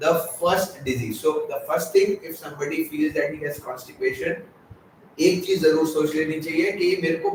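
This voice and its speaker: A man's pitch moves up and down in a usual way while noticeable noise carries on behind him. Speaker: gastroenterologist. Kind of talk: interview answer. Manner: soft-spoken.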